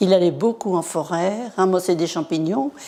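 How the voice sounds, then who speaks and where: A woman speaks at medium pitch and a fairly slow pace. Her tone is dark and mellow, with ordinary pitch variation. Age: 80s+. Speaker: local resident witness. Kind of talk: interview testimony.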